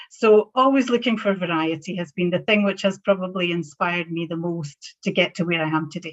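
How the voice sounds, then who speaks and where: A woman with a Scottish accent speaks at a fairly quick pace, her pitch fairly low. She barely pauses, and her pitch varies in an ordinary way. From Scotland. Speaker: banking professional. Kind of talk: panel talk.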